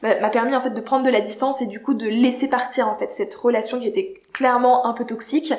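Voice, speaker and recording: A high-pitched woman's voice with ordinary pitch variation over noticeable background noise. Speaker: YouTuber. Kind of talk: casual vlog monologue. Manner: hesitant, many fillers.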